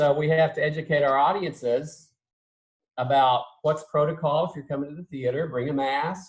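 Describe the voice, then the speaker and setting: This man's voice is fairly high and somewhat breathy. He talks at a moderate pace, with big swings in loudness. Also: fairly even intonation. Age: 60s. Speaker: theatre professor. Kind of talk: casual interview.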